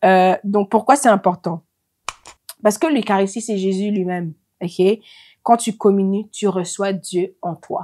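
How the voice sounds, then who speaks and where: A woman with a non-native accent speaks very slowly at a medium pitch in a dark, mellow tone, with ordinary pitch variation and big swings in loudness, in a dry, close sound with no echo. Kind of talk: religious teaching talk. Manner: halting, many hesitations.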